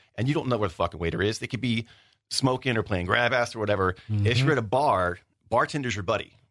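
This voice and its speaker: Against a quiet background, a man speaks at a very fast pace with a medium pitch and ordinary pitch variation. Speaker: former radio producer, editor and waiter. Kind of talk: casual interview chat. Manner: joking, sarcastic.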